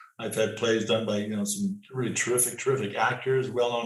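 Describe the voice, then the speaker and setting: Lively intonation marks this man's medium-pitched voice, delivered at a fairly quick pace with a Canadian accent and audible room echo. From Canada, Toronto (Scarborough). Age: 70s. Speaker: playwright. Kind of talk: interview. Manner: halting, frequent repetitions.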